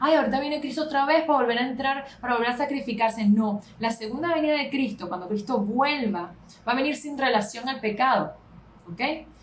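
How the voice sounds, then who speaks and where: A woman with a high voice talks at a fairly quick pace with ordinary pitch variation over noticeable background noise. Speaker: pastor. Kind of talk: Bible study lecture. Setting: live stream on social media. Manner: fast.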